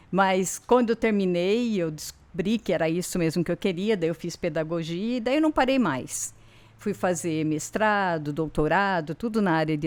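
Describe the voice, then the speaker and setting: On a very clean recording with a silent background, a woman with an unremarkable speaking voice talks at a fairly low pitch and fairly slow pace, with ordinary pitch variation. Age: 60s. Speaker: university professor of education. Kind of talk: interview chat.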